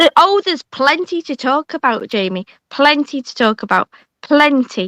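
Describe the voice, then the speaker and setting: A woman with a Yorkshire accent speaks at a moderate pace in a high, bright, sharp voice, her pitch swinging very widely and her loudness shifting a lot, recorded with a dry, close sound and no echo. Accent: picked up some Yorkshire. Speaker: streamer. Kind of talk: casual chat. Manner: animated.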